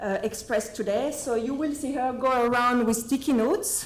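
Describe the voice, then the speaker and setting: A woman with a French accent speaks in a high voice at a moderate pace. There is noticeable background noise. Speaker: meeting facilitator. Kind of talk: meeting introduction. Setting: meeting room with table microphones. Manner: halting.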